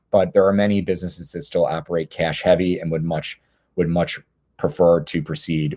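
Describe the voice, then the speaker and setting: Recorded dry and close with no echo, a man speaks in a very deep, low voice with a dark, mellow tone. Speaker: panelist on legal aspects of cannabis industry. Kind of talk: webinar presentation. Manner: fast; halting, many fillers and repetitions.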